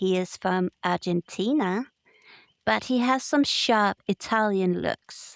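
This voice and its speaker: A woman's medium-pitched voice at a very slow pace, dry and close with no echo, on a very clean recording with a silent background. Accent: non-native. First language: not English. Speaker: podcast co-host. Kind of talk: casual chat.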